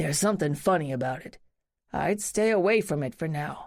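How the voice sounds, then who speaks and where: A raspy, put-on character voice sits at a middle pitch. It moves at a fairly quick pace. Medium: read story. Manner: plain-spoken, casual, mild swearing.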